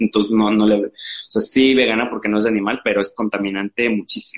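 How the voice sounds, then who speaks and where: A man is speaking. He talks with a Mexican accent. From Mexico, Veracruz (Xalapa). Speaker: fashion brand founder. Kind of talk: live interview. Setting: live stream.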